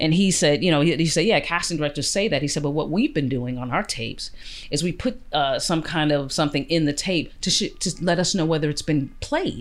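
A woman with a very deep, low pitch talks at a fairly quick pace with hardly any pauses and ordinary pitch variation. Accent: Chicago. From US, Chicago South Side. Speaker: actor. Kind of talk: interview.

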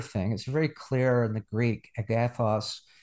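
Quiet background behind a man speaking at a fairly slow pace in a medium pitch. He has an ordinary speaking voice with fairly even intonation. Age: 60s. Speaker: pastor and theology professor. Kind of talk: interview.

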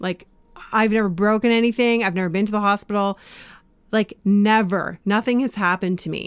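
A woman with a Canadian accent speaks at a fairly quick pace in an unremarkable speaking voice. Her medium pitch carries fairly even intonation, and the sound is dry and close with no echo. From Canada. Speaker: life coach and podcast host. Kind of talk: casual interview.

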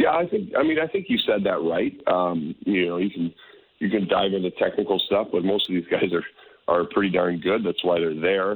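Very even loudness in a Canadian accent. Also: man, moderate pace. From Calgary, western Canada. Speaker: former hockey goaltender, TV analyst. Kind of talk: radio interview.

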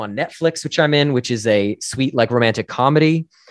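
In a normal speaking voice, a man with an American accent talks at a moderate pace and medium pitch with ordinary pitch variation, in dry, close sound with no echo. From US Northeast, northern New Jersey. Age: 30s. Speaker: actor and musician. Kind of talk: casual interview.

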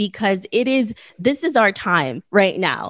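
A woman speaks at a medium pitch and a fairly slow pace. Hers is a plain, everyday voice with lively intonation. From born in the Philippines, raised in the US. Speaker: podcaster and entrepreneur, former documentary photographer. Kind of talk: interview.

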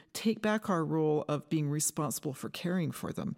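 In a very clean recording with a silent background, a woman with a Western Canadian accent speaks in a dark, mellow tone. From Canada, British Columbia. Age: 60s. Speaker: forest ecology professor. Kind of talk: interview. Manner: halting, with repetitions.

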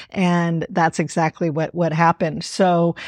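Recorded dry and close with no echo, a woman speaks against a quiet background. She has a normal speaking voice at a medium pitch and a fairly slow pace. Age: 60s. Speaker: author and filmmaker. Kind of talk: interview conversation.

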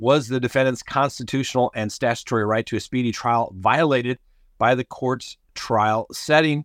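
An ordinary speaking voice comes from a man with an American accent, at medium pitch with fairly even intonation. The recording is very clean and silent in the background, with a dry, close sound with no echo. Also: moderate pace. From Colorado. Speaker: crime podcast host. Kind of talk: news commentary. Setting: on a cruise ship trip.

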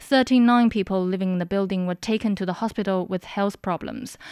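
A woman with a plain, everyday voice speaks at medium pitch and a moderate pace with fairly even intonation, on a very clean recording with a silent background. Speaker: news headline reader. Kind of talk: news reading. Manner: formal, brisk, even headline delivery.

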